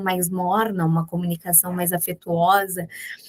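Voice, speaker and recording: The speaker talks at a moderate pace with a southern Brazilian accent. The sound is dry and close, with no echo. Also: woman. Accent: gaúcho accent, noticeable. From Rio Grande do Sul, southern Brazil. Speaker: business executive. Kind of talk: podcast interview. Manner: direct.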